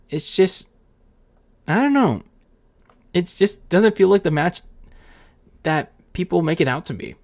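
On a very clean recording, a man's voice stands against a silent background. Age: 20s. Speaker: wrestling and sports podcast host. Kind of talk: solo podcast commentary. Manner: casual, with filler words and self-corrections.

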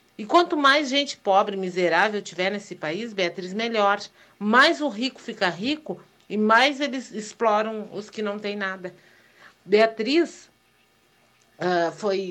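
A woman's bright, sharp tone, with lively intonation, big swings in loudness, long and frequent pauses, and a very slow pace. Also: medium pitch for a woman. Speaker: listener sending voice message. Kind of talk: voice message.

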